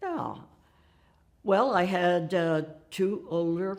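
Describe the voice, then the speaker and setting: Speaking at a very slow pace, a woman with an American accent has a fairly low voice. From Nebraska, US Midwest. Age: 90s. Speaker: women's rights activist. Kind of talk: oral history interview. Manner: halting.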